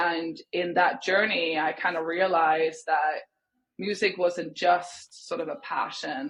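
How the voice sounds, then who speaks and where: A woman with a Swedish accent speaks at a fairly low pitch. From Sweden. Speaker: music industry executive. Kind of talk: podcast interview.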